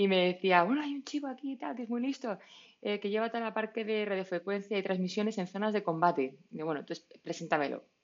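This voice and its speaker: The speaker has a Madrid accent and lively intonation. The pace is very fast. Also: woman, medium pitch for a woman. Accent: Castilian Spanish (Madrid). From Madrid, Spain. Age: 30s. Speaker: startup founder. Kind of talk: casual interview. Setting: remote call.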